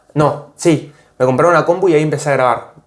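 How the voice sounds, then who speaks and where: Talking at a moderate pace with fairly even intonation, a man is heard against audible room echo. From Argentina, Tierra del Fuego (Ushuaia). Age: 20s. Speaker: content creator. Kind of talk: interview. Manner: casual, hesitant.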